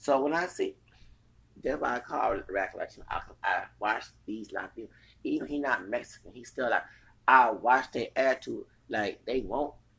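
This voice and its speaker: A man with a Texas accent speaks at a moderate pace. He leaves long, frequent pauses. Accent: Southern US, Texas. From US South, Texas. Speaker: podcaster. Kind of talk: casual rant, opinionated commentary. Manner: angry, animated.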